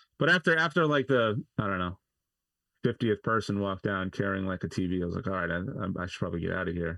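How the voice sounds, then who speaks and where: A man with an American accent talks very fast in a fairly low, bright and sharp voice, recorded dry and close with no echo. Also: lively intonation. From US, Los Angeles then Maine. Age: 30s. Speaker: broadcast operations manager. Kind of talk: casual chat. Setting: video call.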